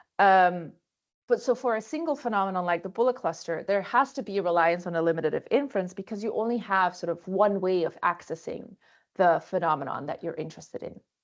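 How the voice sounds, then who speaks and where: A woman speaks at a very fast pace in a medium pitch. Her intonation is lively. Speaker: philosophy of science researcher. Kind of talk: lecture. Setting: video call.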